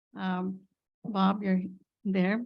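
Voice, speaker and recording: A woman of medium pitch speaks with monotone, flat intonation. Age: 70s. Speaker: public commenter at council meeting. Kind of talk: public comment.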